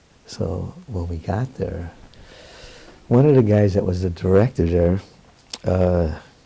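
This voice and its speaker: A man with a very deep, low voice talks at a fairly slow pace, with ordinary pitch variation and long, frequent pauses. Background noise is noticeable. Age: 70s. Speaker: Roma professor. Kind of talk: interview. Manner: animated.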